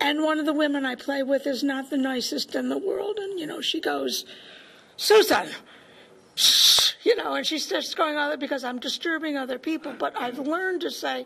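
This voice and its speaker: Over noticeable background noise, a woman with high pitch uses a raised, projected voice at a moderate pace with ordinary pitch variation. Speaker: audience member. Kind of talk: audience comment.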